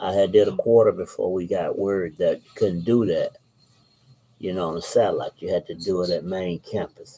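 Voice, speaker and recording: Loudness swings widely in this voice with an Alabama accent. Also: man, moderate pace. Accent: Southern US (Alabama). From Alabama, US South. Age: 60s. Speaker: author and channel host. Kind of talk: casual monologue and book reading.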